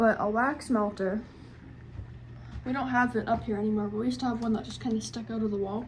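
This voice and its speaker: Audible room echo surrounds a woman speaking at a fairly quick pace. Her pitch is fairly high and her intonation fairly even. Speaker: vlogger. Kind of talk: casual vlog.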